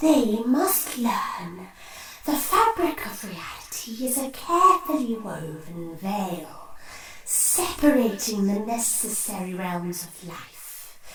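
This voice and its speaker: A put-on character voice, female-sounding, at a very slow pace with very wide pitch swings. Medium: audio drama. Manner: formal, stately, cautious.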